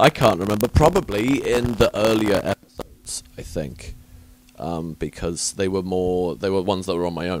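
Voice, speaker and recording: A man's very deep, low voice with a southern English accent. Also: ordinary pitch variation, moderate pace. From southern England, Southampton. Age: 30s. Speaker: podcast host. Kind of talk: casual chat. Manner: chatty, hesitant with many fillers.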